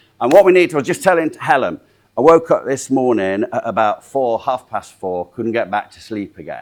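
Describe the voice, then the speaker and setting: A man in a Yorkshire accent, animated in tone, fairly quick, medium-pitched, with very wide pitch swings. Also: big swings in loudness. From South Yorkshire, Doncaster. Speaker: motivational speaker and sales trainer. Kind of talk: training seminar talk.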